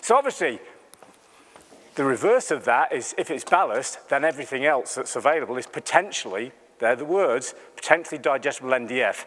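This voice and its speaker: With an English accent, a man speaks at a fairly quick pace. His voice is fairly high and his intonation lively. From England, Lincolnshire. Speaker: animal nutritionist. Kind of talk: conference talk. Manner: conversational, animated.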